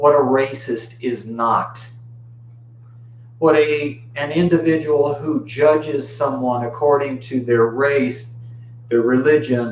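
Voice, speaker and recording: With music playing in the background, a man speaks very slowly at a medium pitch, his intonation fairly even. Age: 50s. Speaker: Buddhist video blogger. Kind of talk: personal video monologue. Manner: casual, conversational.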